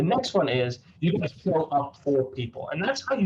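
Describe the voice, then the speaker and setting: Fairly high, somewhat breathy man's voice with very wide pitch swings. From South Africa. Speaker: sports camp director. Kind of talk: prepared presentation. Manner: fast.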